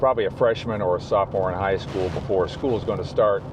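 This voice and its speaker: A man talks in a fairly low pitch with ordinary pitch variation. Noticeable background noise runs behind him. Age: 60s. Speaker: YouTuber. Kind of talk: casual talk to camera. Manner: rambling, conversational.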